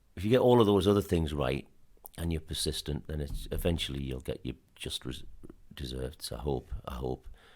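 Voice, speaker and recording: Pitched very deep and low, this man's voice has vocal fry and lively intonation. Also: moderate pace. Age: 60s. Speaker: football club chairman and businessman. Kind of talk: podcast interview. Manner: halting.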